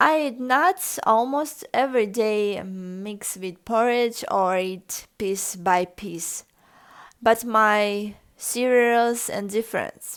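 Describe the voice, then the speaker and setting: The speaker talks very slowly in a Russian accent, with big swings in loudness. The recording is very clean, with a silent background. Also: woman, fairly high pitch for a woman, ordinary pitch variation. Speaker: lifestyle vlogger. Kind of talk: casual vlog tutorial. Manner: halting, with fillers.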